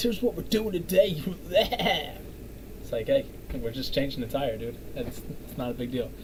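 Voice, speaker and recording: The man keeps a moderate speed. Both room echo and background noise are audible around him, the noise noticeably so. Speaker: vlogger reacting to a video. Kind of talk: reaction commentary. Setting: home recording, neighbors above. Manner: quiet; halting.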